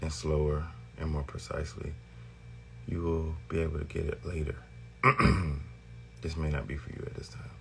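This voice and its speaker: Over music in the background, a man mumbles at a moderate pace in a very deep, low pitch. His intonation is fairly even, and the room echo is audible. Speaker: vlogger. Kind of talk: casual monologue. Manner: mumbling.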